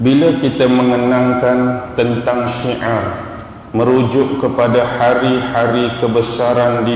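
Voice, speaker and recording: Noticeable background noise and audible room echo surround this recording. A man at a medium pitch speaks at a very slow pace. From Malaysia, Kelantan (Pasir Mas). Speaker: religious teacher. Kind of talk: religious lecture. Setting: mosque with audience.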